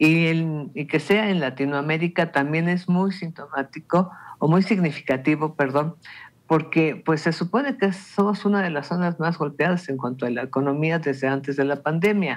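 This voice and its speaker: Speaking at a moderate pace with a Mexican accent, a man uses a fairly high pitch and ordinary pitch variation. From Mexico. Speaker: radio panelist. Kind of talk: radio panel discussion. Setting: radio studio. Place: home room. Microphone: video call.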